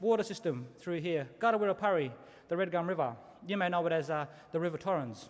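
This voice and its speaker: The man talks very fast. His intonation is lively. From South Australia, Adelaide. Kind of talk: ceremonial welcome to country speech. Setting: stage with audience at graduation ceremony. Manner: engaging, audience interaction.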